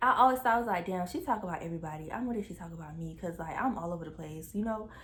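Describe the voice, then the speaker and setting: A woman talks at a very fast pace in a medium pitch. Her tone is animated and her intonation lively. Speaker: YouTuber. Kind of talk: storytime.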